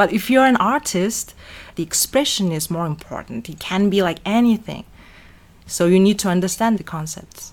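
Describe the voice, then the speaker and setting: A woman speaks in a Mongolian accent at a moderate pace. Her pitch is medium and her intonation lively. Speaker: art teacher and fashion designer. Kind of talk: interview.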